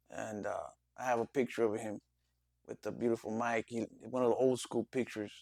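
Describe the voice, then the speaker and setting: A man with a Spanish accent, medium pitch and monotone, flat intonation, at a fairly quick pace broken by long, frequent pauses. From Los Angeles, US. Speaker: interview guest. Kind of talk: casual interview. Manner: halting.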